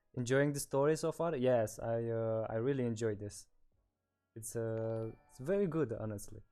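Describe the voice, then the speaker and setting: Music plays in the background as the voice moves at a moderate pace with ordinary pitch variation. The loudness swings in big ways. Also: man, medium pitch for a man. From Romania. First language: Romanian. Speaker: streamer. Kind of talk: casual chat. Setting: livestream from shared room. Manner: halting.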